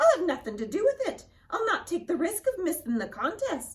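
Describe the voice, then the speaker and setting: A woman does a squeaky, put-on character voice at an extremely high pitch. Her pitch swings very widely at a fairly quick pace. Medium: read story. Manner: sneering.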